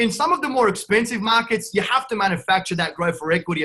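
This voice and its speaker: With an Australian accent, a man talks at a very fast pace in a bright, sharp tone. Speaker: real estate investor. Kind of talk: podcast interview. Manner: animated, brash.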